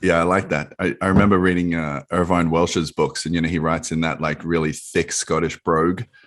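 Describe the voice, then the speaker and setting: In an Australian accent, a man talks in a very deep, low voice with monotone, flat intonation. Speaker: podcast host. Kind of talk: podcast interview, casual conversation.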